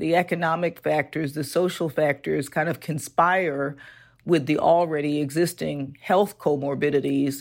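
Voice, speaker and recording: A woman with an American accent speaks at a very deep, low pitch, with vocal fry and fairly even intonation. Her pace is moderate, and the recording is very clean with a silent background. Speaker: physician and foundation executive. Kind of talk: interview.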